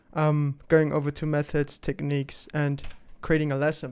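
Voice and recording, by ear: With monotone, flat intonation, a man of fairly high pitch speaks at a moderate pace in a clear, smooth, slightly mellow tone.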